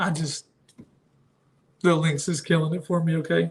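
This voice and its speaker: A man talks at a moderate pace. His pitch is high. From northern Ohio. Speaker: kayak fishing channel host and store owner. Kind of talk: live stream Q and A. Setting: live stream.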